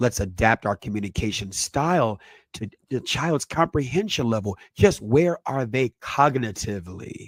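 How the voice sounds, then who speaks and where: This man has an unremarkable speaking voice, medium in pitch, with lively intonation at a moderate pace. The sound is dry and close, with no echo. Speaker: parenting educator, channel host. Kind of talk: educational presentation.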